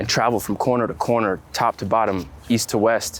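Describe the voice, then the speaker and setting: Noticeable background noise runs under this man's voice. He speaks with an American accent at a medium pitch, with ordinary pitch variation. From upstate New York. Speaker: photographer. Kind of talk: interview. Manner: halting.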